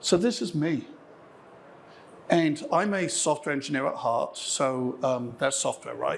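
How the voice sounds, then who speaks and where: The speaker talks in an English accent at a fairly slow pace, with long, frequent pauses. Audible room echo is present. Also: man. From England. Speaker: software engineer. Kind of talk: conference keynote. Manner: frequent fillers and false starts.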